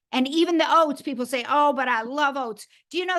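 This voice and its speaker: A woman with a high voice and ordinary pitch variation speaks at a moderate pace against a quiet background. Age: 70s. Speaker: network marketing leader. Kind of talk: talk to a sales team. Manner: animated.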